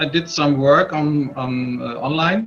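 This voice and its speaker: A man with a German accent, fairly high in pitch, fairly slow, with fairly even intonation over noticeable background noise. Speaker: online business member. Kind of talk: casual chat. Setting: video call.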